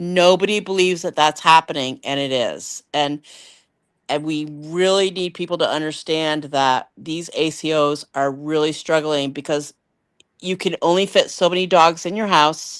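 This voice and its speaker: In a very clean recording with a silent background, a woman with a very deep, low pitch talks at a moderate pace. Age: 60s. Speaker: animal rescuer. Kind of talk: casual chat. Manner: animated.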